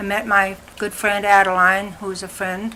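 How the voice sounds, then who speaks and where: With audible room echo and noticeable background noise, a woman with an American accent talks at a fairly slow pace. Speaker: family elder interviewee. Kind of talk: oral history interview.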